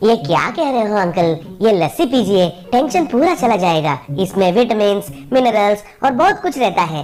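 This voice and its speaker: This cartoonish character voice sits fairly high in pitch, swings very widely up and down, keeps a very even loudness at a moderate pace, and has clear background noise behind it. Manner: cheerful, breezy.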